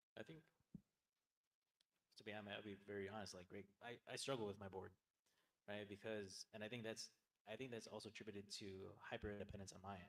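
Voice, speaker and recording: A soft-spoken man talks at a very fast pace with fairly even intonation, separated by long, frequent pauses. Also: fairly low pitch for a man. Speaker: nonprofit leader. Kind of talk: panel discussion. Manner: halting.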